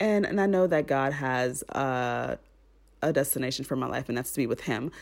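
A woman with an American accent speaks in an animated tone at a very deep, low pitch, with ordinary pitch variation and a moderate pace. The recording is very clean, with a silent background. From Miami, Florida (Haitian American). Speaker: podcast host. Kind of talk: casual solo monologue.

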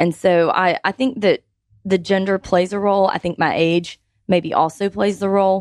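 A woman has an ordinary speaking voice, fairly low in pitch, at a moderate pace. The sound is dry and close with no echo, and the recording is very clean with a silent background. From Georgia, US South. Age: 30s. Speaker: business consultant. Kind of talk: radio panel interview. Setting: radio studio.

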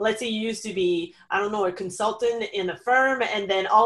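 Speaking in a French accent, a woman keeps her intonation fairly even. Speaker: online business consultant. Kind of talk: interview.

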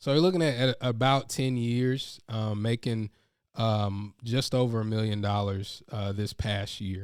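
A man with an American accent and an unremarkable speaking voice talks at a fairly slow pace. His pitch is medium with ordinary variation, in a very clean recording with a silent background. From North Carolina. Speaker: professional speaker and speaking coach. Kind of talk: interview.

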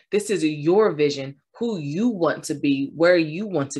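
Her pitch is very deep and low for a woman, and she talks at a fairly slow pace against a quiet background. The tone is animated, with lively intonation. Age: 30s. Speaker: podcast host and motivational speaker. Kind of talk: solo motivational talk.

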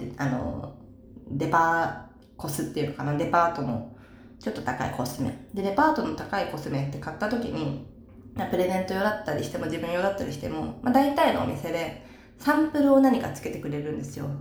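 A woman at a fairly quick pace with very wide pitch swings, amid noticeable background noise and audible room echo. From Saitama, Japan. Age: 20s. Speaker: idol. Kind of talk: casual solo talk, Q&A. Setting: in the bath.

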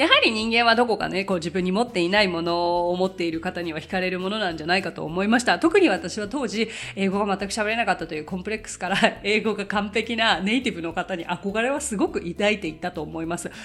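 Over noticeable background noise, a woman talks at a very fast pace with hardly any pauses, her medium-pitched voice showing ordinary pitch variation. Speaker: English conversation teacher. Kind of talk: casual solo podcast talk.

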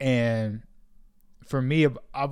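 On a very clean recording with a silent background, a man with an American accent speaks at medium pitch with monotone, flat intonation. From Sacramento, California. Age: 20s. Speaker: podcaster. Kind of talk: interview.

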